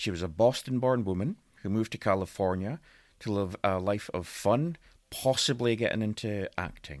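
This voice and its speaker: Lively intonation comes through in a Scottish accent on a very clean recording with a silent background. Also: man, fairly low pitch for a man, moderate pace. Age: 40s. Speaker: guest storyteller. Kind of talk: casual chat.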